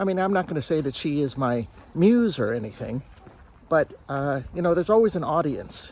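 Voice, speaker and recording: With an American accent, a man talks at a moderate pace and a fairly high pitch. His intonation is lively, and there is noticeable background noise. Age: 60s. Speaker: vlogger. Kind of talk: casual vlog monologue. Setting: outdoors, walking on a trail. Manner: halting, many fillers.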